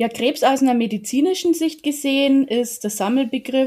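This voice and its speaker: A woman with a dark, mellow tone is heard on a very clean recording with a silent background. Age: 40s. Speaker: yoga teacher. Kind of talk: interview.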